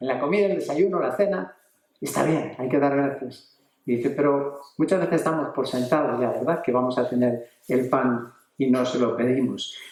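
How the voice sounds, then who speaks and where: Delivered at a moderate pace, this is a plain, everyday voice with ordinary pitch variation. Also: man, fairly high pitch for a man. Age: 60s. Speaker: preacher. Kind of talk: sermon.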